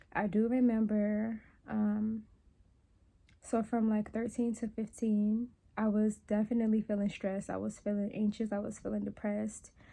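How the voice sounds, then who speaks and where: Her fairly high pitch comes with a dark, mellow tone and slight breathiness as a woman speaks at a moderate pace with monotone, flat intonation, in a very clean recording with a silent background. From New Orleans, Louisiana. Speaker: wellness and meditation content creator. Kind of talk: casual talk to camera, personal reflection. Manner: conversational, reflective, candid.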